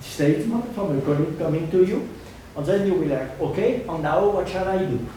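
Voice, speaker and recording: Amid noticeable background noise and audible room echo, a man speaks at a fairly quick pace in a high pitch. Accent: French. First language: French. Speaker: hydrologist, researcher. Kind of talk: Q&A answer after lecture.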